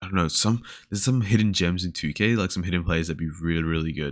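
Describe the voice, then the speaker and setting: A man's very deep, low voice with ordinary pitch variation at a fairly quick pace, in a very clean recording with a silent background. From Australia. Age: 20s. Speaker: podcast host and uni student. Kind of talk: casual solo chat, introduction. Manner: casual, filler-heavy.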